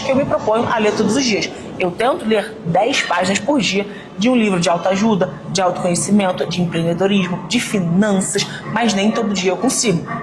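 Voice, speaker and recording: A woman talks at a moderate pace and medium pitch with very even loudness. Noticeable background noise and audible room echo surround her voice. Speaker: fitness and mindset influencer. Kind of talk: casual vlog talk to camera. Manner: varied intonation.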